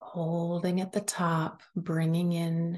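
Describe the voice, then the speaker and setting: A woman talks very slowly in a somewhat breathy, fairly low voice. Her intonation is monotone and flat. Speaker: podcast host and wellness coach. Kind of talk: guided meditation. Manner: soft, slow, soothing; calm, gentle, paced with long pauses.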